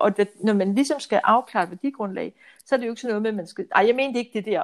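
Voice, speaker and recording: A woman speaks fairly high, with lively intonation. Hers is a plain, everyday voice. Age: 60s. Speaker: financial adviser. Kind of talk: casual interview.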